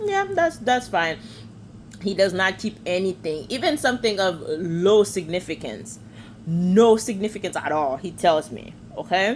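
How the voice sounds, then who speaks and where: Her medium-pitched voice carries vocal fry as this woman speaks at a fairly slow pace, her tone animated and her intonation lively. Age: 20s. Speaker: vlogger. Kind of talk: casual monologue.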